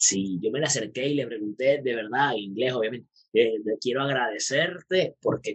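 A man with a Venezuelan accent talks at a fairly quick pace in an animated tone. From Venezuela, Puerto Ordaz. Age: 30s. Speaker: magician and math teacher. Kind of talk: casual interview.

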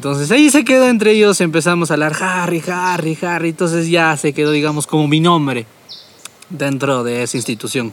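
Over noticeable background noise, a man talks at a fairly quick pace and a fairly high pitch, his intonation lively. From Peru, Tarapoto. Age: young. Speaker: podcast host. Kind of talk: casual chat.

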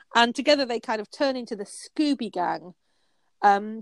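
With a Yorkshire accent, a woman talks at a moderate pace with ordinary pitch variation, the sound dry and close with no echo in a very clean recording against a silent background. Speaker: novelist and podcast co-host. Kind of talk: casual chat.

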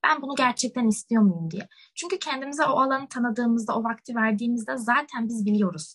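The woman's voice is high. She talks very quickly. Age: young. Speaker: university student, podcast co-host. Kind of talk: casual chat.

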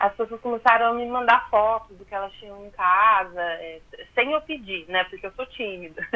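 A woman speaks in a plain, everyday voice, fairly high in pitch, with ordinary pitch variation. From southern Minas Gerais, Brazil. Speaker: fashion designer and social media illustrator. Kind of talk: radio interview.

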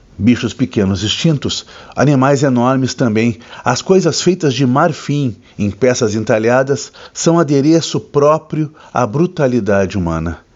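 An unremarkable speaking voice from a man, medium in pitch, fairly slow, with lively intonation. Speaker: book reviewer host. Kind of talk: dramatic literary narration, solemn and elegiac book recommendation. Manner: grave, measured, somber and poetic, with theatrical pauses; formal, deliberate, evocative delivery.

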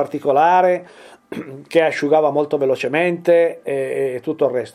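With a dark, mellow tone, a man talks at a fairly quick pace and a fairly high pitch. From Piedmont, Italy (Turin). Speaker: furniture and object restorer. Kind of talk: interview. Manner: halting.

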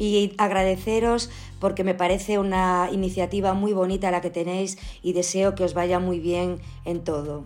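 A woman at a medium pitch, moderate pace and monotone, flat intonation. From Spain, Galicia (Ourense). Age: 50s. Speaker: family doctor. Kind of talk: interview.

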